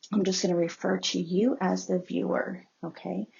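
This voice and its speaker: A soft-spoken woman talks. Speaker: tarot reader. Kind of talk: tarot reading voiceover. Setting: voiceover over photos of cards.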